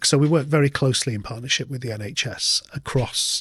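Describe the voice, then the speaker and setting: A man with a Lancashire accent, ordinary pitch variation, and a dry, close sound with no echo. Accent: northern English, Lancashire. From northern England, Lancashire (Oldham). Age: 50s. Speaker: nurse manager. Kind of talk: podcast interview.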